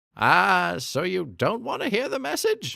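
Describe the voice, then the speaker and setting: A man puts on a breathy character voice at a high pitch. He keeps a moderate pace. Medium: read story. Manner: cheery, airy.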